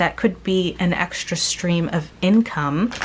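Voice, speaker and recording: Noticeable background noise behind a woman's fairly low-pitched voice, its pitch varying in an ordinary way. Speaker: tarot reader. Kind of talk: pick-a-card tarot reading. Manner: casual, filler-heavy.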